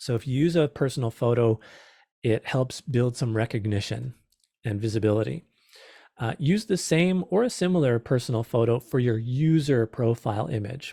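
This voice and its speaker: A man at a medium pitch, somewhat breathy, with a dark, mellow tone, ordinary pitch variation and a fairly quick pace, in a dry, close sound with no echo on a very clean recording with a silent background. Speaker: small business presenter. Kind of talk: presentation.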